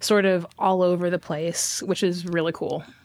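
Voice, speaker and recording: The speaker uses an American accent at a moderate pace. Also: woman. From Texas (Houston). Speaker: arts administrator. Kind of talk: interview conversation.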